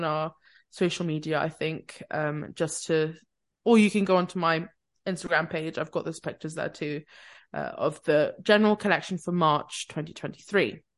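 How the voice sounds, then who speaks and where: A woman talks at a fairly quick pace with ordinary pitch variation. She has a plain, everyday voice, heard against a quiet background. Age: 20s. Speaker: podcast co-host. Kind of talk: casual chat.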